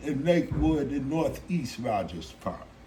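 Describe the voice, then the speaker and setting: There is audible room echo as a man with an American accent talks at a fairly slow pace and a fairly high pitch. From Chicago, US Midwest. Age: 60s. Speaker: musical artist. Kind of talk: interview.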